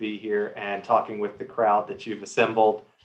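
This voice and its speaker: Here a man with an American accent speaks at a medium pitch. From United States. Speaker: privacy commissioner. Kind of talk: panel webinar introduction. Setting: video call webinar. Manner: hesitant, many repetitions.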